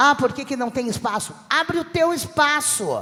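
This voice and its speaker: A woman's fairly quick speech with very wide pitch swings, over noticeable background noise. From southern Brazil (Rio Grande do Sul). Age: 60s. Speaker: comedian. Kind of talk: panel discussion.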